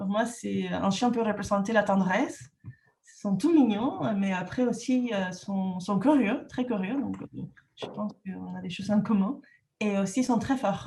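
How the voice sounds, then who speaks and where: Pitched at a medium level, a woman with a Peruvian accent talks fairly slowly, with ordinary pitch variation. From Peru, Lima. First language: Spanish (speaking French). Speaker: entrepreneur and trainer. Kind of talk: podcast interview. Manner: halting, many hesitations.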